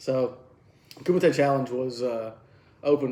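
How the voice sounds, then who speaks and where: Speaking in a Southern US accent, a man keeps a medium pitch and a monotone, flat intonation, his tone dark and mellow. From Alabama. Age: 40s. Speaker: karate instructor and podcast host. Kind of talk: casual chat. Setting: at home, drinking beer.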